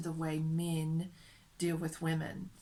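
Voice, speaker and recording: Audible room echo surrounds a woman with an American accent who speaks in a fairly low pitch. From United States. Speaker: vlogger. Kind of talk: casual vlog monologue. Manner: hesitant, many fillers.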